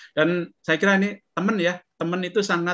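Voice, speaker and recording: A man speaks against a quiet background. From Indonesia, Surakarta (Central Java); Central Java, Indonesia. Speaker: professor and remote sensing researcher; professor. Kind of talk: interview. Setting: video call. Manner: halting, many fillers. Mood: warm, smiling, relaxed. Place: home room. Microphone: webcam.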